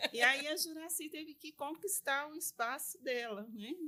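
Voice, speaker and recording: In a raised, projected voice with a bright, sharp tone, the speaker goes at a fairly slow pace with very wide pitch swings. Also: woman. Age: 60s. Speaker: lawyer and business association vice-president. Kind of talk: interview.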